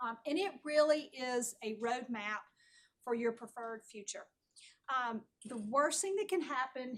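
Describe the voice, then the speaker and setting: With an American accent, a woman speaks at a high pitch with ordinary pitch variation. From North Carolina. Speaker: planning consultant. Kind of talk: presentation. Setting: town board meeting.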